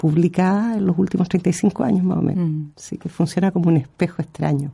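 A woman's somewhat breathy voice, fairly low in pitch with a dark, mellow tone. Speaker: poet. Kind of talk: interview. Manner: halting.

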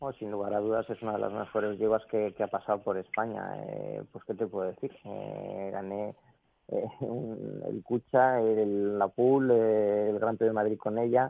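A man speaks with an unremarkable speaking voice, fairly low in pitch, keeping a fairly even intonation at a fairly slow pace. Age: 40s. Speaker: jockey. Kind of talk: interview.

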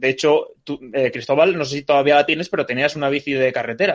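A fairly quick, plain, everyday voice from a man, fairly high in pitch, with fairly even intonation. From Asturias, Spain. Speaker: podcast co-host. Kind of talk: casual chat.

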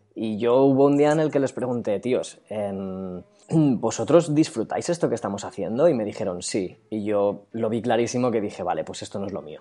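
A man speaks with a dark, mellow tone at a medium pitch. His pace is moderate and his intonation lively. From Catalonia, Spain. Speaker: illustrator and character designer. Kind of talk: casual interview chat.

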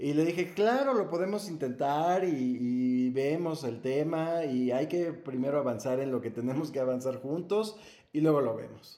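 Set at a fairly high pitch, a man's dark, mellow voice moves at a fairly slow pace with hardly any pauses and ordinary pitch variation, in audible room echo. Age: 40s. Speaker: adoptive father. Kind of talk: casual interview chat.

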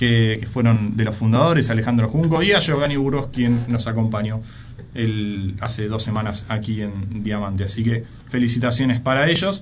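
In a room with audible echo and noticeable background noise, a man talks at a moderate pace with medium pitch and ordinary pitch variation. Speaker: radio host. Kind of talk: radio sports talk show. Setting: radio studio.

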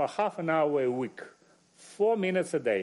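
The intonation is lively. The pace is fairly slow. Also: man. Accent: Russian. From Russia. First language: Russian. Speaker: journalist and media editor. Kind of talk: panel discussion.

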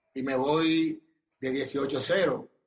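A man's fairly high voice with fairly even intonation, in a Dominican accent. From Dominican Republic, Barahona. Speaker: former pro baseball player. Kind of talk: interview. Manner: halting.

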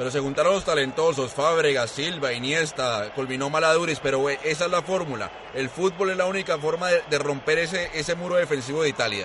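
A man talks at a fairly quick pace with hardly any pauses, his pitch fairly high and ordinarily varied. Noticeable background noise runs behind him. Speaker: football analyst. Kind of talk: sports panel discussion.

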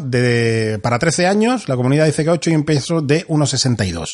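With a normal speaking voice, a man speaks at a fairly slow pace, medium in pitch, with lively intonation. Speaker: board game podcast host. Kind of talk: game rules explanation; casual chat.

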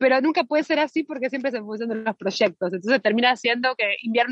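The speech runs at a very fast pace with ordinary pitch variation, in a dry, close sound with no echo. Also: woman. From Argentina. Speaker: actress. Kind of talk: interview. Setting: phone call.

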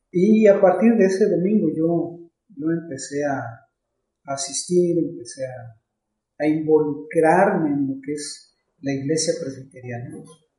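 This man has an unremarkable speaking voice, fairly high in pitch with ordinary variation, talking at a fairly slow pace with big swings in loudness. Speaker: pastor. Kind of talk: casual chat.

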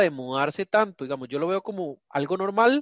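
With a Costa Rican accent, a man talks in a high pitch with lively intonation. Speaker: podcast co-host. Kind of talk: casual chat.

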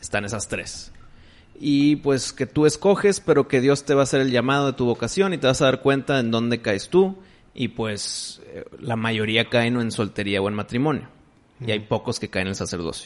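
At a moderate pace, a medium-pitched man speaks with lively intonation over noticeable background noise. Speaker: podcast host. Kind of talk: casual chat.

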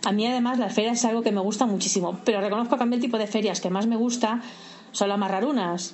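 Speaking at a very fast pace, a woman with a fairly high pitch keeps a fairly even intonation over noticeable background noise and audible room echo. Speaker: freelance video game journalist. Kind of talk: interview. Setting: video call.

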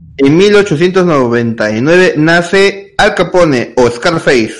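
This man's voice is high in pitch and shows ordinary variation. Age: 20s. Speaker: podcast co-host. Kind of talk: reading aloud.

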